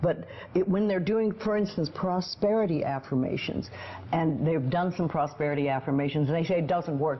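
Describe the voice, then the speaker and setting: A woman's fairly low voice with an American accent, ordinary pitch variation, and noticeable background noise. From United States. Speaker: motivational author. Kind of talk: interview answer.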